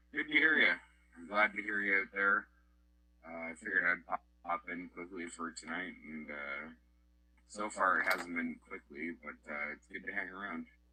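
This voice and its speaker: Over music in the background, a man speaks at a moderate pace with long, frequent pauses and big swings in loudness. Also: fairly low pitch for a man, ordinary pitch variation. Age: 20s. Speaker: CB radio operator. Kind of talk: casual radio chat.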